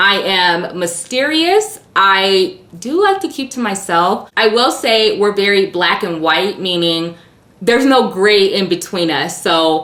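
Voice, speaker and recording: A woman in an American accent, animated in tone, with lively intonation, a fairly slow pace, and noticeable background noise. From US, Illinois then Nevada/California. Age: 30s. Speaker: beauty YouTuber. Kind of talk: casual Q&A vlog.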